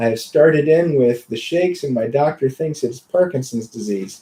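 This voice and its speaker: A man speaks at a moderate pace and medium pitch, his intonation lively. His voice is somewhat breathy, with a dark, mellow tone. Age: 40s. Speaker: health and wellness show host, clinic doctor. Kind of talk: casual chat.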